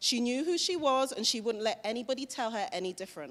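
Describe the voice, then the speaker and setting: In a very clean recording with a silent background, a woman with a British accent talks at a high pitch. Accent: British accent, noticeable. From London, England. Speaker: motivational speaker. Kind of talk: school assembly talk. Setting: school assembly hall with students.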